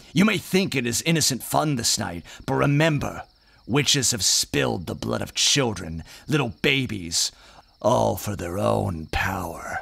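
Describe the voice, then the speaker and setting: Putting on a character voice, a man speaks at a moderate pace with a fairly low pitch. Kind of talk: audio drama dialogue, sermon-like.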